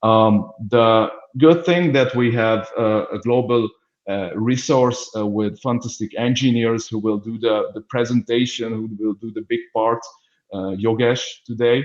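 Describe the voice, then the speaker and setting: Speaking with a Hungarian accent, a man at medium pitch keeps a fairly slow pace and fairly even intonation. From Hungary. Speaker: business development manager. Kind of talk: webinar introduction. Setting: online webinar. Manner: halting, many fillers.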